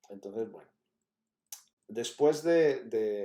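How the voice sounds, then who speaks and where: With a Catalan accent, a man speaks fairly slowly in a dark, mellow tone. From Catalonia, Spain. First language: Catalan (speaking Spanish). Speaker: university professor. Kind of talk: lecture. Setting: pre-recorded talk.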